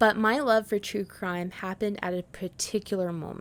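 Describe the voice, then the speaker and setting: An unremarkable speaking voice: a woman at medium pitch with a Canadian accent, fairly slow, on a very clean recording with a silent background. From Canada, Prince Edward Island. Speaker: podcast host. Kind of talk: podcast monologue.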